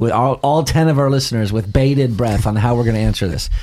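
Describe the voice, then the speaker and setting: This man has a plain, everyday voice with an American accent. His medium pitch carries lively intonation. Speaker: pastor and radio show host. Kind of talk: religious discussion show.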